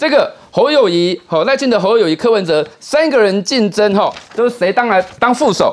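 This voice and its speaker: A man with a Taiwanese accent speaks at a moderate pace in an extremely high pitch, with lively intonation, very even loudness, hardly any pauses, and noticeable background noise. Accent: Taiwanese Mandarin. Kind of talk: political talk show panel.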